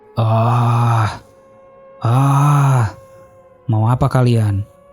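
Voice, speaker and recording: Faint music plays behind a man growling through a put-on character voice at a medium pitch. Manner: growling, menacing.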